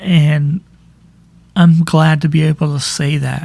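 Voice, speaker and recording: A man speaks in a fairly high voice. His intonation is monotone and flat. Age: 40s. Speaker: podcast host. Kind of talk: personal monologue. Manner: halting.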